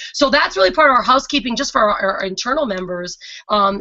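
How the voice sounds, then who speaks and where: A fairly high-pitched woman at a fairly quick pace, with lively intonation and noticeable background noise. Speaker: online business coach and webinar host. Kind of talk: live webinar presentation. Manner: fast; intense, energetic.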